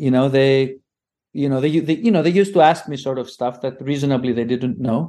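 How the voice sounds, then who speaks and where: A man's dark, mellow voice, fairly high in pitch, with ordinary pitch variation and a fairly quick pace. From Greece. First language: Greek. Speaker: linguist's husband, father in multilingual family. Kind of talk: casual interview. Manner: halting.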